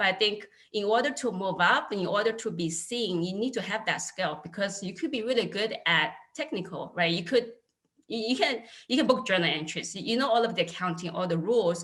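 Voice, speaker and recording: The woman's intonation is lively. Her voice sits at a medium pitch. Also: fairly quick pace. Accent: Chinese. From China, Wenzhou. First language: Chinese. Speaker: accounting manager, alumni panelist. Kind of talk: panel discussion. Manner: halting, many fillers.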